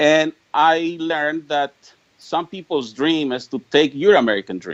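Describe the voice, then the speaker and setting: This man speaks with a Spanish accent at a fairly slow pace. His pitch is fairly high, with ordinary variation. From Mexico, rural Jalisco. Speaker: political activist. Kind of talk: interview. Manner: halting, many repetitions and stammers.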